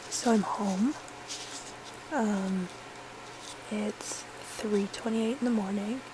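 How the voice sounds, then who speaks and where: Very slow speech from a woman at medium pitch, fairly even in intonation, broken by long, frequent pauses, with noticeable background noise. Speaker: vlogger, fan at a concert. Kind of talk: casual vlog. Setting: at home. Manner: hesitant with fillers.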